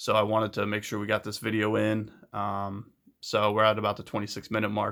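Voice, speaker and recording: A man speaks at a fairly quick pace with a medium pitch. The recording is very clean, with a silent background. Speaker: deck builder and card game video host. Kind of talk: deck tech tutorial. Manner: fast; hesitant, many fillers.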